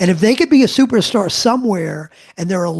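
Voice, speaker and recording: A man's high-pitched voice with lively intonation. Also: quiet background. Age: 60s. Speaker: leadership expert and author. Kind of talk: podcast interview.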